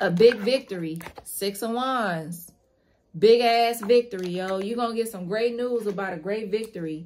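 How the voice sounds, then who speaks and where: Fairly slow delivery with ordinary pitch variation over light background noise. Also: woman. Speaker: tarot reader. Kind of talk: tarot reading commentary. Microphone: phone near.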